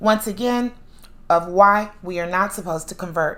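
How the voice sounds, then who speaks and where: A woman speaks at a fairly slow pace, and room echo is audible. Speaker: podcast host; author. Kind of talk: monologue lecture.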